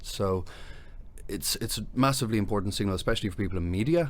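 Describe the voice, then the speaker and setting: A man with a Dublin accent speaks very fast with ordinary pitch variation, and audible room echo surrounds his voice. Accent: Dublin Irish. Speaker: tech company CEO, former lawyer. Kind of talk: podcast interview.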